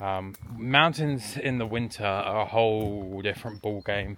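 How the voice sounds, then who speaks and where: Speaking with an English accent, a man uses a medium pitch and ordinary pitch variation. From England. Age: 20s. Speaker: travel vlogger and hiker. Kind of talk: casual vlog talk. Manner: hesitant, many fillers.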